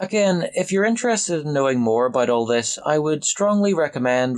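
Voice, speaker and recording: The speaker has a Northern Irish accent. The delivery is fairly quick, with lively intonation. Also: man. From Northern Ireland. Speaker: political commentator. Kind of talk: scripted narration. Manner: formal.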